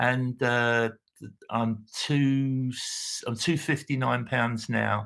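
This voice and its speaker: Speaking very slowly in a British accent, a man keeps a medium pitch, a monotone, flat intonation, very even loudness, and long, frequent pauses. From United Kingdom. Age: 60s. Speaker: patient. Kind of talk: interview answer. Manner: hesitant, halting.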